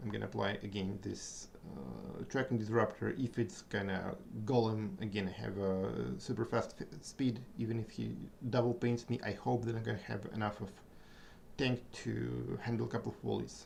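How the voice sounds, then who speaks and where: A man speaks with vocal fry and lively intonation. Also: fairly low pitch for a man, moderate pace. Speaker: gaming streamer. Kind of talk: live gameplay commentary. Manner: halting.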